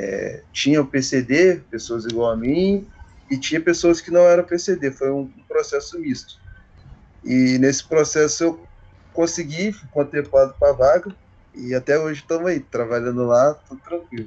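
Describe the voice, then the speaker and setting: A fairly high-pitched man at a fairly slow pace, with ordinary pitch variation. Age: 30s. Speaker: railway worker. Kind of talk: casual interview. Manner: halting.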